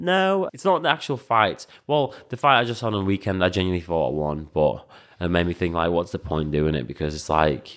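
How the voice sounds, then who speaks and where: A man with a Liverpool accent talks fairly quickly in a very deep, low voice. His intonation is lively. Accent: English, sounds Scouse. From Latvia, raised mostly in England. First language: Latvian. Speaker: professional kickboxer and coach. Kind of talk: podcast interview. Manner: hesitant, many fillers.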